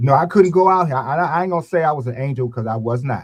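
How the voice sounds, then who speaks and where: A somewhat breathy man's voice, medium in pitch, with lively intonation at a moderate pace. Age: 70s. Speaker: boxing coach. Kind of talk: casual chat.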